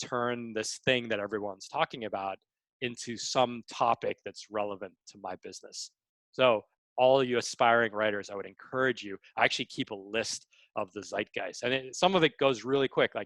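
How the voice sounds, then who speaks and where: The voice has an animated tone and ordinary pitch variation at a moderate pace. The recording is very clean, with a silent background. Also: man. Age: 40s. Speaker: online course creator and writer. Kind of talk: live Q&A workshop.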